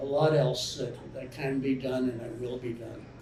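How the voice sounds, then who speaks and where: Noticeable background noise and audible room echo fill the recording. The speaker is a man. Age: 70s. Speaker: author. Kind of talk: audience Q&A. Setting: bookstore event with live audience. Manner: halting, repeats words.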